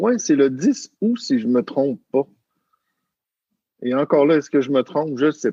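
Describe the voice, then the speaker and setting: With a Quebec accent, a man talks at a very slow pace and a fairly high pitch, his voice making very wide pitch swings. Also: dry, close sound with no echo. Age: 40s. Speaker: family coach. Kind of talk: podcast interview. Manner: hesitant, many fillers.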